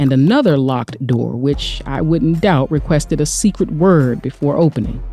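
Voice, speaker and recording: Music plays in the background. Over it, a woman with a very deep, low pitch speaks at a moderate pace. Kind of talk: audio drama narration. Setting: studio.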